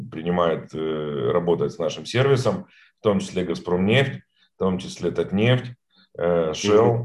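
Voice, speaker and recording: This man's voice sits at a very deep, low pitch. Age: 40s. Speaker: entrepreneur. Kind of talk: interview. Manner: halting, many fillers and repetitions.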